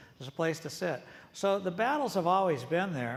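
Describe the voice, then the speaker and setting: Speaking at a fairly quick pace with lively intonation, a man with a high voice is heard against audible room echo. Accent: American. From US Pacific Northwest, Seattle. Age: 70s. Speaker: retired coffee company executive and author. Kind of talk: on-stage interview. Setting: conference stage with audience. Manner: conversational, with fillers and repetitions.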